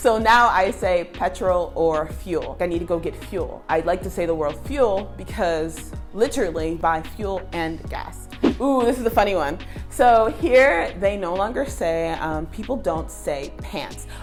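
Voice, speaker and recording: A woman in an American accent speaks at a fairly slow pace. Music plays in the background. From United States. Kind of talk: casual talk to camera.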